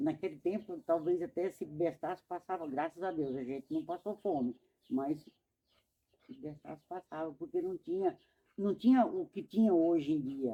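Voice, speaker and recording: Speaking fairly slowly, a woman with a fairly low pitch and a dark, mellow tone uses lively intonation. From Brazil, Alagoas (Northeast), moved to Mato Grosso at 7-8. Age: 70s. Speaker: elderly woman interviewed in student documentary. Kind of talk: casual life-story interview. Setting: at her home.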